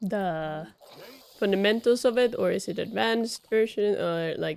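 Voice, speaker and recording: A woman's medium-pitched voice in a Swedish accent, fairly slow, with ordinary pitch variation. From Sweden. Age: 20s. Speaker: video game streamer. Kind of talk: casual chat. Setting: live stream. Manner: casual, rambling with fillers.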